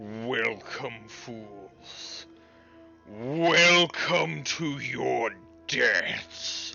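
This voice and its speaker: A man's put-on character voice at medium pitch, very slow pace, clear music in the background. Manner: booming, echoing, ominous.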